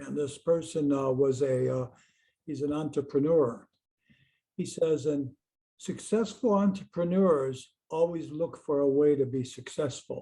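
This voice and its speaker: The voice is somewhat breathy and dark and mellow in tone, with ordinary pitch variation at a fairly slow pace. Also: man, fairly high pitch for a man. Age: 80s+. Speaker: hypnotherapist. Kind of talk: podcast interview conversation. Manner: casual, with filler words.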